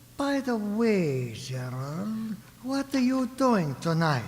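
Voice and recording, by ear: A man speaks slowly in a put-on character voice, pitched high with big swings up and down.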